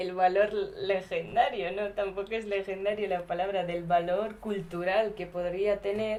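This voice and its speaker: Woman at medium pitch with flat, monotone intonation, a fairly slow pace and hardly any pauses, amid noticeable background noise. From India (Gujarat), raised in Basque Country from 13. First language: Gujarati (speaking Spanish). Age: 20s. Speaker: documentary subject. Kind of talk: casual interview. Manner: hesitant.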